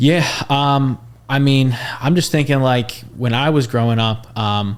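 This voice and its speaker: Over noticeable background noise, a man with an American accent speaks at a medium pitch and a fairly slow pace, with fairly even intonation and very even loudness. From Philadelphia area, US. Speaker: podcast host. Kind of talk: casual interview chat.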